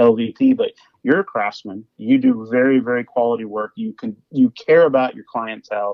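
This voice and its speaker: With a Midwestern accent, a man speaks at a moderate pace, his loudness swinging widely. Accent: Midwest. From Kansas City area, US Midwest. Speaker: hardwood flooring business owner. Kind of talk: casual podcast interview. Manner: repeats words and restarts sentences often.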